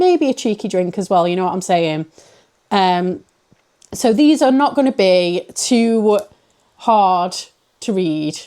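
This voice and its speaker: With a British accent and a dark, mellow tone, the speaker moves at a very slow pace with long, frequent pauses and lively intonation. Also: woman, medium pitch for a woman. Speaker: book reviewer. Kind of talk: casual vlog-style book reviews. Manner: chatty, rambling.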